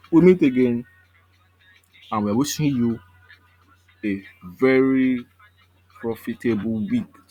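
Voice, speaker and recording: Music plays in the background while a man talks at a fairly slow pace. His pitch is medium, with ordinary pitch variation. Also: long, frequent pauses. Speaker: forex trading analyst. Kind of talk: market analysis video.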